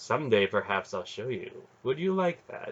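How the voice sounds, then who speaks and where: A man performs in a put-on character voice. His pace is moderate. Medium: read story. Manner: imperious, sensual.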